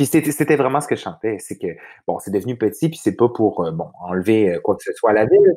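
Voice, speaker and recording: A man speaks at a medium pitch and a fairly quick pace, his pitch swinging very widely. The recording is very clean with a silent background. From Quebec, Saguenay-Lac-Saint-Jean. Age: 30s. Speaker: PR agency vice-president. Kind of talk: casual interview.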